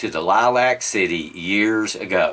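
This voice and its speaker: A man with a Southern US accent speaks at a very slow pace and a fairly low pitch. Noticeable background noise is present. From US South. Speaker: motorsport vlogger. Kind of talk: casual vlog monologue. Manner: hesitant with fillers.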